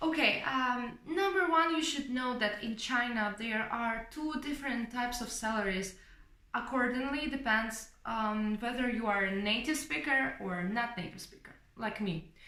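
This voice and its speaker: A woman with a fairly high pitch talks at a moderate pace with lively intonation. Audible room echo surrounds her voice. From Ukraine. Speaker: English teacher and vlogger. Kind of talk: casual vlog talk. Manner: hesitant with fillers (um, uh).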